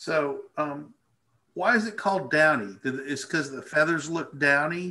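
This man's voice is bright and sharp, pitched fairly high. He moves at a moderate pace with ordinary pitch variation. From Arkansas. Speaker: birding presenter. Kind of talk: casual educational chat. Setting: live video stream. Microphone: video call.

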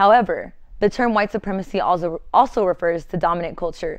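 The speech runs at a fairly quick pace with ordinary pitch variation over a quiet background. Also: woman. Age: 20s. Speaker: educator and counseling student. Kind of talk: reading aloud. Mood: earnest, serious. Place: studio. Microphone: lapel.

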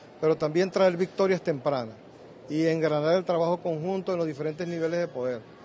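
A dark, mellow tone with fairly even intonation over light background noise. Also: man. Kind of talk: press statement. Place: hall. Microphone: handheld.

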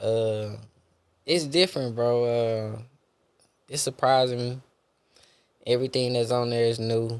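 Speaking fairly slowly with long, frequent pauses, a man with a Houston accent keeps a medium pitch and fairly even intonation. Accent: Southern US (Houston). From Texas. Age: 20s. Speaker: podcast guest. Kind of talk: casual interview chat. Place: studio. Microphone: studio mic.

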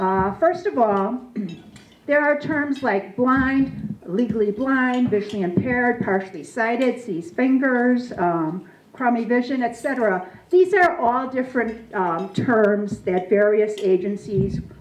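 A woman speaking at a fairly slow pace, with audible room echo and light background noise. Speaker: presenter. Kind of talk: lecture. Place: hall. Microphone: handheld.

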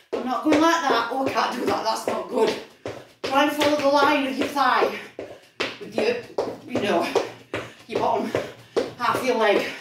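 A woman's voice amid loud background noise and audible room echo. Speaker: fitness instructor. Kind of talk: workout coaching. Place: kitchen. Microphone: camera far.

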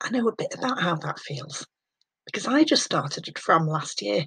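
This woman's voice is somewhat breathy and moves at a moderate pace. Her pitch swings very widely. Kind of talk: scripted welcome talk to pupils. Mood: warm, reassuring. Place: home room. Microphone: webcam.

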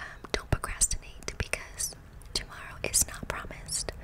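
Whispered speech from a woman, moderately paced. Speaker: ASMR creator. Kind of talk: soft casual ASMR chat, Q&A answers. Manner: soft close-mic ASMR speaking. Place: home room. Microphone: studio mic.

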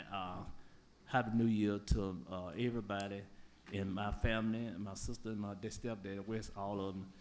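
In an Alabama accent, a man speaks at a fairly low pitch with fairly even intonation. Room echo can be heard. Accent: Southern US (Alabama). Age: 60s. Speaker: public commenter. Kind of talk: public comment at council meeting. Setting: city council chamber. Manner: halting.

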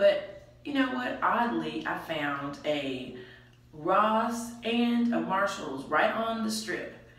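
A woman's voice makes very wide pitch swings, with audible room echo around it. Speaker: vlogger with a reborn baby doll. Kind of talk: casual vlog chat. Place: bathroom. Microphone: camera far.

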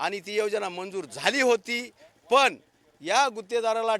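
A man speaks in a high pitch with a bright, sharp tone and fairly even intonation. The recording is very clean and dry, close with no echo, over a silent background. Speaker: army veteran and local politician. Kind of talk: on-the-spot news interview.

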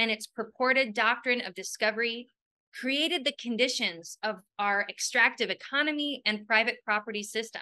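Over a quiet background, a woman speaks at a moderate pace with a bright, sharp tone and ordinary pitch variation. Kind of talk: prepared presentation. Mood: warm and smiling. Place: home room. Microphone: webcam.

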